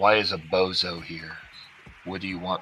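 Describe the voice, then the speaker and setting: A man puts on a character voice, very deep and low. He speaks at a moderate pace over clear background noise. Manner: rude, sneering.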